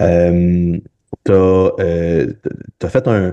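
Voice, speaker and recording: A man with a Quebec accent speaks in a very deep, low voice with a dark, mellow tone. The background is quiet. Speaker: podcast host and physiotherapist. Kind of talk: interview conversation. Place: home room. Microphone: video call.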